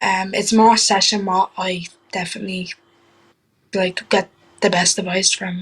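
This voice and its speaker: A woman in an Irish accent speaks at a fairly slow pace, somewhat breathy and with a monotone, flat intonation. Long, frequent pauses break up her words. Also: medium pitch for a woman. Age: young. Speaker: trainee wrestler. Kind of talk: interview answer. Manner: casual, hesitant.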